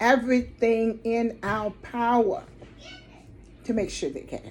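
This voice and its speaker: A woman's fairly high voice has a dark, mellow tone. It sounds somewhat breathy. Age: 60s. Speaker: nonprofit director. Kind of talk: direct-to-camera appeal. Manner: earnest.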